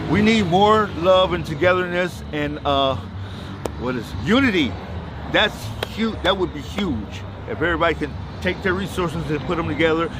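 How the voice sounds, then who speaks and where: With lively intonation, a man talks at a moderate pace in a fairly high voice, with noticeable background noise and audible room echo. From Ohio, Cincinnati. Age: 60s. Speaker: retiree receiving donated goods. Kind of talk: casual street interview.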